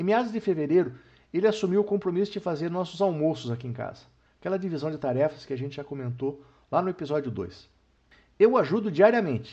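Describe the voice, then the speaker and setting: Against a quiet background, a high-pitched man with a dark, mellow tone talks very fast, his intonation lively and his loudness swinging widely. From interior of São Paulo state, then Paraná from adolescence. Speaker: retired banker and podcast host. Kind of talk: casual family podcast chat.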